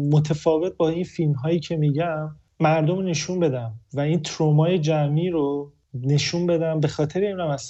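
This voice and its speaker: A somewhat breathy man at a fairly high pitch and moderate pace. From Iran. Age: 30s. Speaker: film director. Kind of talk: interview.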